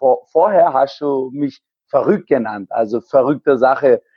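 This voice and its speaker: Fairly slow speech from a man, fairly high in pitch. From Germany, Heilbronn. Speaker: amateur triathlete and race organizer. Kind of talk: interview. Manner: halting, many hesitations.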